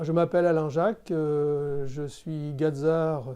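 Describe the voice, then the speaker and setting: Against a quiet background, a man with a dark, mellow tone and a fairly high pitch talks very slowly, his intonation fairly even. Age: 60s. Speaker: engineering consultant. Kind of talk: testimonial interview. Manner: hesitant, many fillers.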